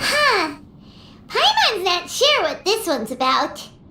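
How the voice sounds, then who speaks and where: A put-on character voice at an extremely high pitch moves at a fairly slow pace with very wide pitch swings over clear background noise. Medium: video game. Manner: chatty, refers to self in third person.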